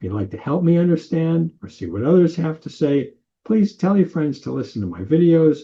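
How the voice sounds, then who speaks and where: Somewhat breathy and fairly high, the man's voice moves through very wide pitch swings. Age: 80s+. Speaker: political commentator. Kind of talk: opinion monologue.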